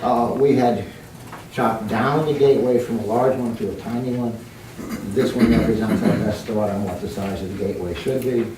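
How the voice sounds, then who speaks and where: A man talks fairly quickly at a medium pitch, with ordinary pitch variation. Noticeable background noise and audible room echo surround his voice. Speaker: town planning committee member. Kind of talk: public meeting presentation. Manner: soft-spoken. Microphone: too quiet for audience.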